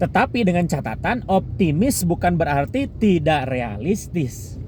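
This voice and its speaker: A man speaks at a very slow pace with a strong Sundanese accent and a high pitch. His pitch swings very widely, and noticeable background noise is present. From Sunda region, West Java, Indonesia. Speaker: vlogger. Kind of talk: casual talk. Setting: in a car. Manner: halting.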